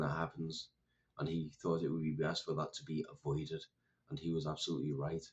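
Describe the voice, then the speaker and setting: A man's very deep, low voice with a British accent. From United Kingdom. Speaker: political commentator. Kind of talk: monologue commentary.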